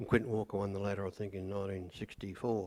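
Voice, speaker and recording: A man in a rural Australian accent speaks at fairly low pitch with monotone, flat intonation, in a very clean recording with a silent background. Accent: broad rural Australian. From rural Victoria, Australia. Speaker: local resident sharing memories. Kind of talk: group reminiscence.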